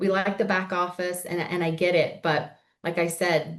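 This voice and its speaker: Here is a woman with a normal speaking voice, pitched fairly low. She talks at a moderate pace. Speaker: accountant and finance executive giving a training session. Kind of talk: webinar presentation. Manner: casual with filler words.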